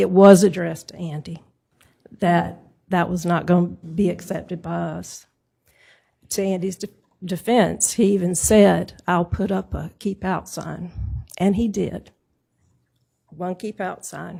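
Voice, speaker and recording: A soft-spoken woman's dark, mellow voice with vocal fry, flat and monotone, fairly slow, with long, frequent pauses and big swings in loudness. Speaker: property owner speaking at zoning hearing. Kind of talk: public hearing testimony. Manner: soft-spoken, low.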